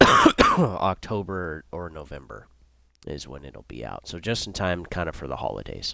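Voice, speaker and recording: A man, with noticeable background noise. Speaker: gaming streamer. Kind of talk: casual chat. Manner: deliberate enunciation; hesitant, many fillers.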